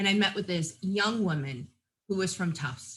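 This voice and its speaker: A woman with a medium pitch speaks in a bright, sharp tone with lively intonation. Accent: New England. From New England. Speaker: nurse practitioner and nursing professor. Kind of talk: interview.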